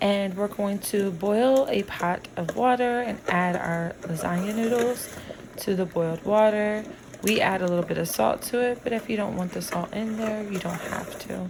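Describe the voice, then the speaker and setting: With noticeable background noise behind her, a woman of medium pitch speaks at a moderate pace with fairly even intonation. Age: 60s. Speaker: home cook. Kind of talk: cooking tutorial.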